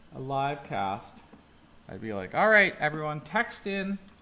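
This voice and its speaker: Music plays behind a man talking at a fairly slow pace. His fairly high voice moves through very wide pitch swings. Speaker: art teacher. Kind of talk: live drawing demonstration. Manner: casual, chatty.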